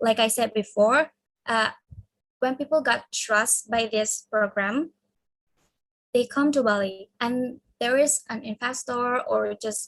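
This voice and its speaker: The speaker has an Indonesian accent and fairly even intonation. Speech comes at a very slow pace with long, frequent pauses. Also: woman, fairly high pitch for a woman. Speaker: university student. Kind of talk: class presentation. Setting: video call.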